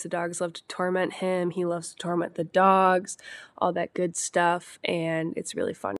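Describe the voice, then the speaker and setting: A woman speaks at a fairly slow pace in a very clean recording with a silent background and a dry, close sound with no echo. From US Midwest, Wisconsin. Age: 20s. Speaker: podcast host. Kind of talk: casual monologue.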